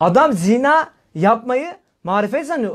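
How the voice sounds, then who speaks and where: An animated man at an extremely high pitch, over a quiet background. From Turkey. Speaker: Islamic preacher. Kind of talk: religious talk. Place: home room.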